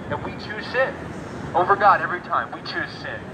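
Noticeable background noise runs beneath a man's voice. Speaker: street preacher. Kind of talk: sermon. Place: street. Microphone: camera far.

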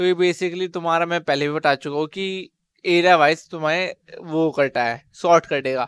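A normal speaking voice from a man, fairly high in pitch, with fairly even intonation, a fairly slow pace and a dry sound with no echo. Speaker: coding tutorial youtuber. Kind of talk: tutorial. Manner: casual. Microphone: headset.

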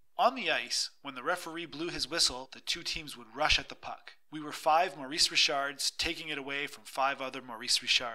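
His voice fairly high and his tone bright, sharp and dramatic, a man speaks with hardly any pauses, fairly even intonation and big swings in loudness. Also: moderate pace. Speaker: audiobook narrator. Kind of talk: reading aloud, dramatic narration of a memoir-style short story. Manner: dramatic, expressive storytelling with wry humor.

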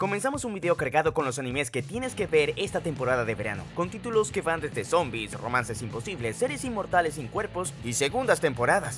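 A man talks at a fairly quick pace with hardly any pauses, his fairly high pitch swinging very widely. Music plays in the background. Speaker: anime channel narrator. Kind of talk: anime review narration.

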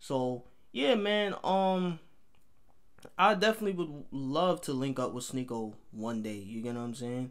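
Speaking at a fairly slow pace with an American accent, a man uses a medium pitch with very wide pitch swings. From New York City, Harlem. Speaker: YouTube reaction video creator. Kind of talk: reaction video commentary. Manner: casual, conversational.

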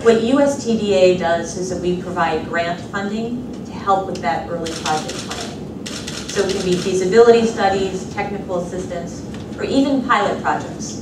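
Noticeable background noise and audible room echo surround a woman speaking at a fairly slow pace. Her pitch varies in an ordinary way. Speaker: government agency director. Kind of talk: panel remarks. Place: hall.

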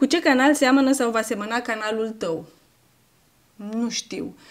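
This woman's high voice keeps a moderate pace. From Romania, Tecuci, Galați county; Romania. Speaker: YouTuber. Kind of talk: casual vlog Q&A. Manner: animated. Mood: warm, grateful. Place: home room.

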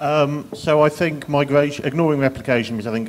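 There is noticeable background noise as a man speaks with an English accent. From England. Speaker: software engineer on a panel. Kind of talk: conference panel discussion.

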